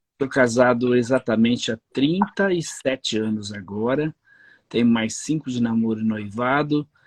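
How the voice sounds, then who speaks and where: A man with a normal speaking voice talks at a fairly slow pace and a medium pitch, with ordinary pitch variation, in a dry, close recording with no echo and a quiet background. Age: 60s. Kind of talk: interview.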